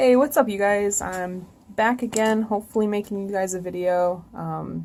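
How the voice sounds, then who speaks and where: A soft-spoken woman's dark, mellow voice with fairly even intonation. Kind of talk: casual talk to camera while drawing. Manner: soft-spoken, quiet. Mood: a bit nervous, self-conscious. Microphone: phone near.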